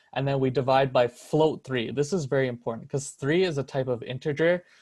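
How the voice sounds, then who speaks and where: A man with a normal speaking voice talks at a medium pitch and moderate pace, with ordinary pitch variation against a quiet background. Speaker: student tutor leading a course review. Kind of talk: review seminar tutorial.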